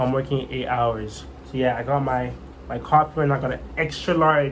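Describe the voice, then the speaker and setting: There is audible room echo as a man talks at a moderate pace, his fairly high pitch carried in fairly even intonation. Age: 20s. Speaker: vlogger learning trading. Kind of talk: casual vlog monologue. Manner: halting, repetitive.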